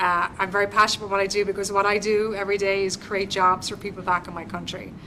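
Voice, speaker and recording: A woman's very fast, monotone, flat delivery in an Irish accent, with noticeable background noise. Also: medium pitch for a woman. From Ireland. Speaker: government business development representative. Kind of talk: guest lecture to university class. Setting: university classroom. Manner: conversational, interactive.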